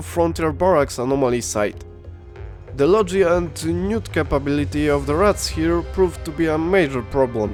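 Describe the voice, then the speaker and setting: Against music in the background, a man with a medium pitch speaks at a moderate pace with very wide pitch swings. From Poland. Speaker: video game YouTuber. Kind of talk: gameplay commentary narration.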